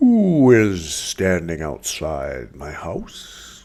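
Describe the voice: Very deep and low in pitch, a put-on character voice speaks at a very slow pace.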